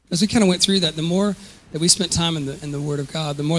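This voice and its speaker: A man with a Southern US accent and fairly even intonation. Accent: Southern American. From US South (Georgia). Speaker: musician and charity founder. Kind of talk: interview. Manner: halting.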